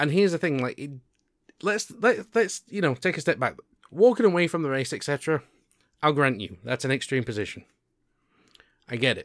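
In a British accent and an animated tone, a fairly high-pitched man talks at a fairly quick pace with very wide pitch swings and long, frequent pauses, recorded dry and close with no echo on a very clean recording with a silent background. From UK. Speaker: podcast host. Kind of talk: casual chat. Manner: animated, joking.

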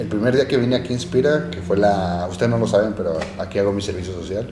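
Fairly low in pitch, a man speaks at a fairly quick pace with ordinary pitch variation. Audible room echo and noticeable background noise surround him. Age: 20s. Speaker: podcast host. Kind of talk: casual chat.

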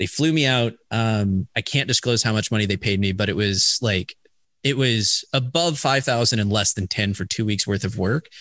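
A normal speaking voice comes through at a moderate pace with very even loudness. The sound is dry and close with no echo, over a quiet background. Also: man, fairly low pitch for a man, ordinary pitch variation. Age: 30s. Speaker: esports commentator turned business development manager. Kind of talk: casual interview.

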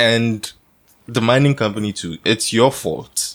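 At a very slow pace, a man with a Ghanaian accent speaks at medium pitch with ordinary pitch variation. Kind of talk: casual chat.

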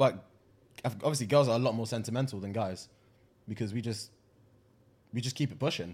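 The speaker's voice is somewhat breathy, moving at a fairly quick pace with long, frequent pauses and ordinary pitch variation, in a very clean recording with a silent background. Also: man, medium pitch for a man. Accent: London. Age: 20s. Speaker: podcast co-host. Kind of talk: casual chat.

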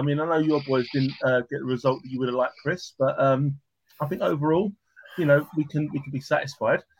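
Somewhat breathy and fairly high in pitch, a man talks at a very fast pace. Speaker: football podcast host. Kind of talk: casual chat about football.

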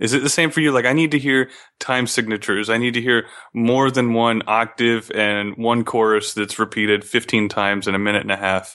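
In a quiet background, a man talks at a fairly quick pace with very even loudness and fairly even intonation. He has an unremarkable speaking voice at a medium pitch. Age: 30s. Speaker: podcast host. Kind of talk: casual chat.

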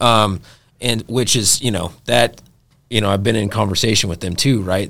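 In an unremarkable speaking voice, a man talks at a fairly quick pace, fairly low in pitch and with fairly even intonation. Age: 30s. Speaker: podcast host. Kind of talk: casual interview.

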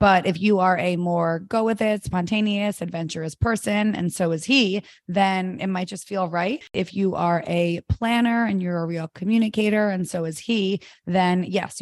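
A normal speaking voice moves at a moderate pace with ordinary pitch variation. The background is quiet. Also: woman. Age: 30s. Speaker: matchmaker and podcast co-host. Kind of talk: casual chat.

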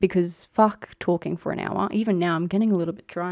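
Her speech runs at a fairly quick pace. This woman talks in an Australian accent. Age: 20s. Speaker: podcast host, nurse and midwife. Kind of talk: casual solo chat.

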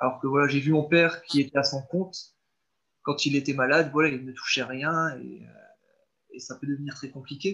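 A man with a fairly high, bright, sharp voice speaks in a flat monotone. His loudness swings widely, and he pauses long and often. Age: 20s. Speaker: school canteen cook and house renovator. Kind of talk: interview. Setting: call. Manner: halting.

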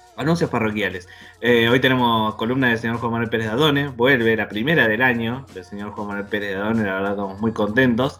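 Over music in the background, a man with a Rioplatense accent speaks very fast at a medium pitch, with fairly even intonation. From Buenos Aires suburbs, Argentina. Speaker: podcast host. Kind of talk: casual chat.

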